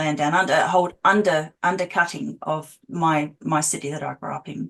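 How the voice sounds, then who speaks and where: With an Australian accent, a woman speaks at a fairly quick pace in a fairly low pitch with ordinary pitch variation. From Australia, Adelaide. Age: 40s. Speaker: abuse survivor and healer. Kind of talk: interview testimony.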